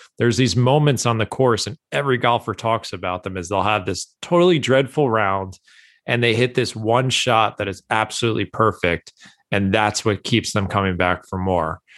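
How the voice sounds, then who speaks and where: A man with an unremarkable speaking voice talks at a moderate pace and fairly low pitch with ordinary pitch variation, recorded dry and close with no echo. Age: 30s. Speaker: golf author and blogger. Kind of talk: casual interview.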